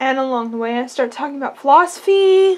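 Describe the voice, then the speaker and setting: A woman speaks at a moderate pace with lively intonation. Her pitch is high. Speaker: vlogger. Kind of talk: casual vlog chat. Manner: drunk, drowsy rambling speech. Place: home room. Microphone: phone near.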